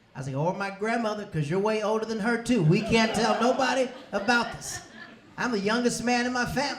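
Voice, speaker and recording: Talking at a fairly quick pace, a man with a high voice is heard with audible room echo and noticeable background noise. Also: ordinary pitch variation. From US South, Tampa, Florida. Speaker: comedian. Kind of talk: stand-up. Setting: stage with audience.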